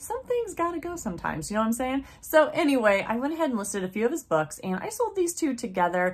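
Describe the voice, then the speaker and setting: Very wide pitch swings from a woman. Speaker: online reseller. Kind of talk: casual vlog chat. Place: home room.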